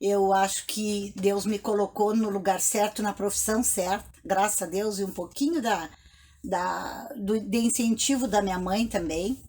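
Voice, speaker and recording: Fairly slow and somewhat breathy, a woman speaks at a medium pitch with ordinary pitch variation. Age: 60s. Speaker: retired teacher. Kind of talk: interview. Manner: halting.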